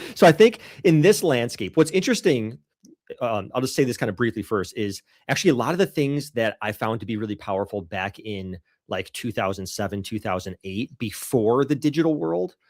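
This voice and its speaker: A man with an American accent speaks in a plain, everyday voice at medium pitch. The sound is dry and close with no echo, on a very clean recording with a silent background. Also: lively intonation, fairly quick pace. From Rochester, New York. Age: 40s. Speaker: dog trainer and business consultant. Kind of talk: podcast interview.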